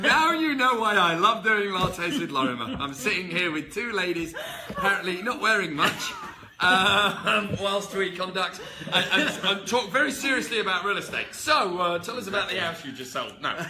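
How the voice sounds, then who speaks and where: Amid noticeable background noise and audible room echo, a man with a slight English accent uses a raised, projected voice, high in pitch with lively intonation, at a moderate pace. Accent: English, less strong. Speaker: real estate company boss and vlog host. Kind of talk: casual interview. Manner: animated, joking.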